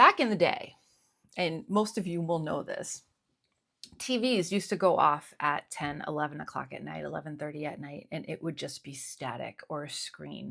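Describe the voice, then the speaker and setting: A woman talks in a relaxed tone at a moderate pace. Her loudness rises and falls sharply. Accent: Northeastern American. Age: 50s. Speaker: stationery YouTuber. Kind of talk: casual talk to camera. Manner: relaxed, conversational.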